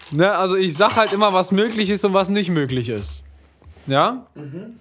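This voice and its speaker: Lively intonation and an animated tone mark this man's fairly slow delivery. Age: 20s. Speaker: music label manager. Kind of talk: casual chat.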